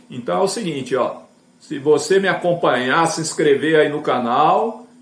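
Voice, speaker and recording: With lively intonation, a man talks at a moderate pace and a fairly high pitch, over noticeable background noise and audible room echo. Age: 60s. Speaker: evangelical YouTuber. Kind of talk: casual evangelistic talk to camera. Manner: conversational, filler-heavy.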